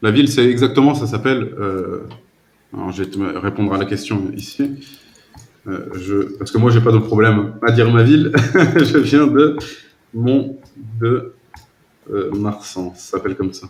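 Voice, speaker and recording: Pausing long and often, a man of medium pitch speaks at a fairly slow pace with ordinary pitch variation. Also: big swings in loudness. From southwest France. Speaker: language tutor. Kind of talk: casual chat.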